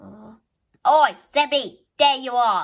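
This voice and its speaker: A woman's put-on character voice, high-pitched and at a fairly slow pace. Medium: solo performance. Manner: angry, scolding.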